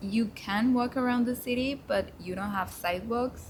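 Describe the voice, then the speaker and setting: Speaking with a Spanish accent, a woman uses a high pitch and ordinary pitch variation. Her pace is moderate. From Mexico. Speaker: intern. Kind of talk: casual chat.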